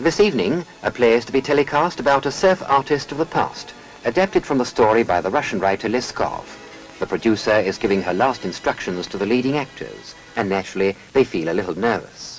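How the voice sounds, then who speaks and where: Music plays behind a man whose medium-pitched voice swings very widely in pitch. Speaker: newsreel presenter. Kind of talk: newsreel narration.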